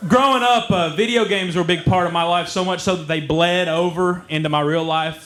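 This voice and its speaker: A man with an Eastern Kentucky accent talks at a very fast pace in a fairly high pitch, over noticeable background noise. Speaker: comedian. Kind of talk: stand-up. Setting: stage with audience.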